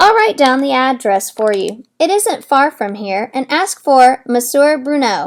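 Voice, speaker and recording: A woman performs a put-on character voice, high in pitch. She speaks at a fairly slow pace with very wide pitch swings. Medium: read story. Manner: haughty.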